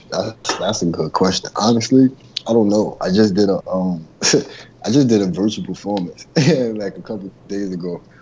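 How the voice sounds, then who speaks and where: A man's fairly low voice with a New York accent at a moderate pace. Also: ordinary pitch variation. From New York (Brooklyn). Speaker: rapper. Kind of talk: casual chat.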